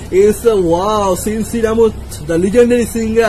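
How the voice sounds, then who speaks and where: With music in the background, a man with a high voice speaks at a moderate pace and fairly even intonation. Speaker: reaction video host. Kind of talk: casual reaction commentary. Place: home room. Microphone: earbuds.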